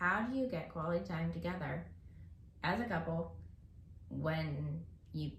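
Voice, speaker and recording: A woman's voice with audible room echo. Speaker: podcast co-host, married parent. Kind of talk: casual chat.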